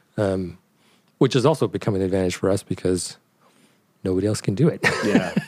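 A man with a fairly low pitch and a dark, mellow tone talks at a very fast pace, with ordinary pitch variation. Long, frequent pauses break up his speech. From Canada. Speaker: designer and brand co-founder. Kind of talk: interview. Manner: hesitant, many fillers.

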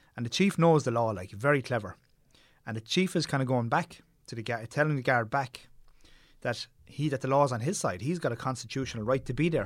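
Fairly quick man's speech in a Tipperary accent, medium in pitch, with ordinary pitch variation, on a very clean recording with a silent background. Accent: Irish (Tipperary). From Ireland, Tipperary. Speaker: documentary filmmaker. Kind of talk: interview conversation.

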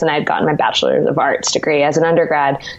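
A woman with a West Coast American accent at a very fast pace, over noticeable background noise. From California. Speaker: dietitian. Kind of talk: interview. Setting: video call.

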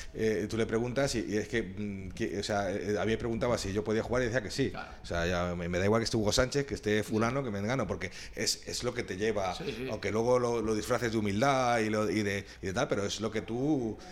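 With a fairly low pitch and fairly even intonation, a man talks at a fairly quick pace with hardly any pauses. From Spain, Madrid. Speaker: former professional footballer. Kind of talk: interview storytelling. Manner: halting, many fillers and repetitions.

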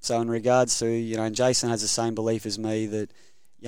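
A man with an Australian accent and monotone, flat intonation, on a very clean recording with a silent background. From Queensland, Rockhampton. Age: 30s. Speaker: rugby league coach. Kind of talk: casual interview. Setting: studio.

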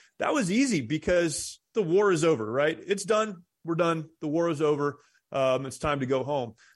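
Against a quiet background, a man with an unremarkable speaking voice and a fairly high pitch talks at a moderate pace with lively intonation. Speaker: war veteran and pastor. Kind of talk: interview.

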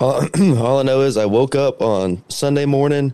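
Dark, mellow tone from a man, with ordinary pitch variation. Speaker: podcast producer and co-host. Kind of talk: casual chat. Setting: studio.

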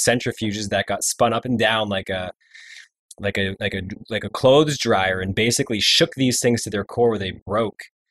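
A man with an ordinary speaking voice talks at a moderate pace and a fairly low pitch with fairly even intonation, the sound dry and close with no echo over a quiet background. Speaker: podcast co-host. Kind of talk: casual interview.

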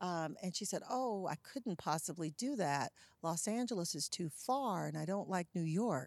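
A woman with an American accent speaks in a normal speaking voice, fairly low-pitched, at a moderate pace with lively intonation. The recording is very clean with a silent background and a dry, close sound with no echo. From US South, Charlotte, North Carolina. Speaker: nonprofit executive director, former TV journalist. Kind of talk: interview conversation.

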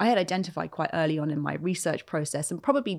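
Here a woman speaks with a very deep, low pitch. The recording is very clean and the background silent. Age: 40s. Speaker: author. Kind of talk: interview conversation. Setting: studio.

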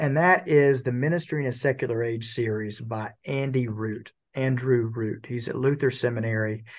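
A plain, everyday voice carries fairly even intonation against a quiet background. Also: man. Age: 40s. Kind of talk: interview conversation.

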